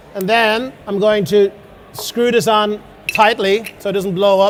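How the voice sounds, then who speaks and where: This man talks with an Irish accent at a high pitch. His intonation is monotone and flat, and there is noticeable background noise. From Ireland. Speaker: chef. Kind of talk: cooking demonstration. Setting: stage with audience.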